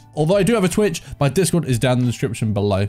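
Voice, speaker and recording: A man speaks at a very fast pace. Faint music plays in the background. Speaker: anime content creator. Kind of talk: casual vlog chat. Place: home room. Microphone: studio mic.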